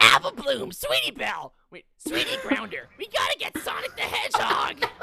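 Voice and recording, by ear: A put-on character voice at an extremely high pitch and moderate pace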